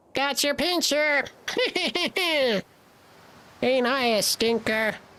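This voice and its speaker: This is a put-on character voice, high and squeaky. It has a smug tone and a very slow pace. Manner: annoying, smug, taunting.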